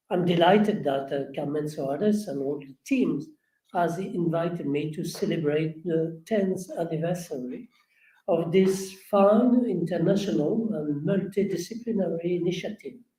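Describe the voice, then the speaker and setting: A man with a French accent speaks in a high pitch with ordinary pitch variation. His tone is dark and mellow, and his pace is moderate. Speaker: historian. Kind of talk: lecture. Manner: halting.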